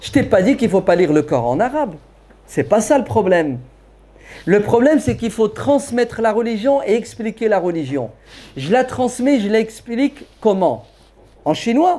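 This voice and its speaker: This man speaks in a high voice at a fairly slow pace. His pitch swings very widely, with long, frequent pauses. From France. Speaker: preacher. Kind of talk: Q&A lecture with audience. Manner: animated.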